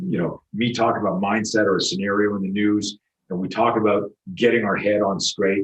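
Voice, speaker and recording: Speaking at a fairly quick pace, a man delivers his words in a flat monotone. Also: fairly low pitch for a man. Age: 60s. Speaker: self-defense instructor. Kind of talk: interview. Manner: halting.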